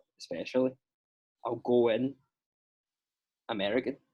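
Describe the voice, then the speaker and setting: With a Scottish accent, a man speaks in a dark, mellow tone. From Scotland. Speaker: actor. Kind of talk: casual chat.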